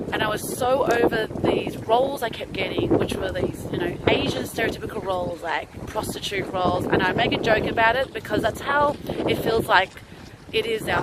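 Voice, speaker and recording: A woman with a fairly high pitch speaks at a moderate pace, using ordinary pitch variation. Noticeable background noise can be heard. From Australia. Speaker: stand-up comedian and actor. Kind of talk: casual talk to camera.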